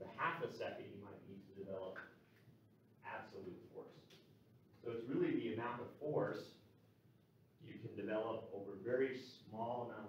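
Light background noise and audible room echo surround a man who speaks at a moderate pace with long, frequent pauses. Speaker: university lecturer. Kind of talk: lecture. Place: classroom.

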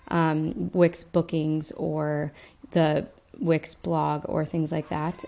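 This is a woman speaking. Her tone is dark and mellow. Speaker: website tutor. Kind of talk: tutorial. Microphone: webcam.

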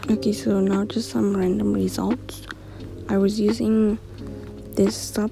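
A soft-spoken woman whispers while music plays in the background. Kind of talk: casual talk to camera. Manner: whispery, soft.

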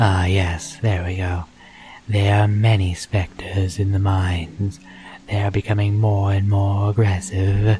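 In a put-on character voice, a man speaks at a fairly low pitch and a fairly slow pace, sounding guttural and strained with monotone, flat intonation. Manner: fussy, rambling, eager.

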